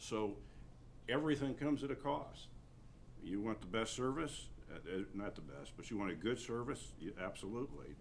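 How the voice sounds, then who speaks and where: A man speaks with vocal fry, lively intonation and a medium pitch. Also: moderate pace. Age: 60s. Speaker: county attorney. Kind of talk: public meeting discussion. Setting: county commissioners meeting. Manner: halting, many repetitions.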